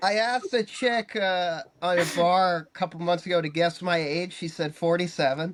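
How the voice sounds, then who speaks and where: Heard on a very clean recording with a silent background, a man with a high pitch speaks at a moderate pace with ordinary pitch variation. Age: 20s. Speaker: comedian and filmmaker. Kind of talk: casual chat.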